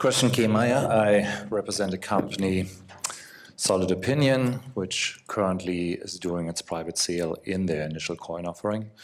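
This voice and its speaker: A man speaks at a moderate pace with a European accent. His pitch is very deep and low, with ordinary variation. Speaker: company representative, former attorney. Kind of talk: panel discussion.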